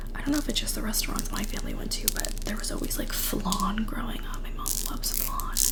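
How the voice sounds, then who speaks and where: A whispering woman at a fairly quick pace, with noticeable background noise. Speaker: ASMR creator. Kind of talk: casual talk to camera. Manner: whispered.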